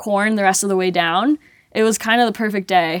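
A woman with a normal speaking voice has a medium pitch and ordinary pitch variation. The very clean recording has a silent background and a dry, close sound with no echo. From Colombia (Medellin), raised in US from age 8. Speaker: mountain athlete and skier. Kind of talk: casual interview chat.

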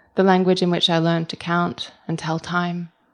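A woman talks at a fairly quick pace with a fairly low pitch and monotone, flat intonation. The recording is very clean, with a silent background. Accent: Australian. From Australia (Melbourne). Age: 30s. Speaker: writer. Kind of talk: reading aloud. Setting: stage with audience.

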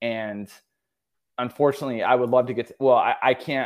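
Delivered at a fairly quick pace with fairly even intonation and an American accent, this is an unremarkable speaking voice. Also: man. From central New York. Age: 40s. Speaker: personal trainer. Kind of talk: casual chat.

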